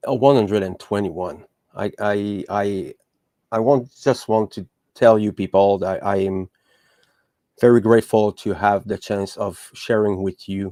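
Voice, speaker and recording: A man with a French accent speaks at a fairly slow pace in a fairly low pitch, his dark, mellow tone and fairly even intonation captured in a dry, close sound with no echo on a very clean recording against a silent background. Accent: French accent, still noticeable. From Quebec. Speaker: podcast host. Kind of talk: podcast monologue. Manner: halting, many fillers and restarts.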